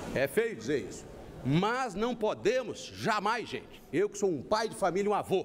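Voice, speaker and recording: A man is speaking. His pitch is high. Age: 60s. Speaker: presidential candidate. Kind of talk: televised political debate. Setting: TV studio, live broadcast.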